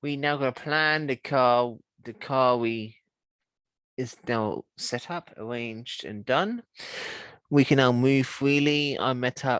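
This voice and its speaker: The pace is very slow. Long, frequent pauses break up the speech. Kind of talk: casual vlog update to camera. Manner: hesitant, casual.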